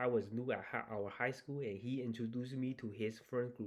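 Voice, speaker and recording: With a Chinese accent, a man talks at a medium pitch. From China. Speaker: YouTuber reading and reacting to Reddit stories. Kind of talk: casual reaction commentary with reading aloud. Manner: casual, hesitant with fillers.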